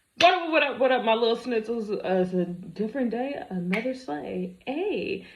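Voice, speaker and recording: With an animated tone and very wide pitch swings, a woman speaks at a moderate pace amid audible room echo. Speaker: commentary video creator. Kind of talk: reaction commentary.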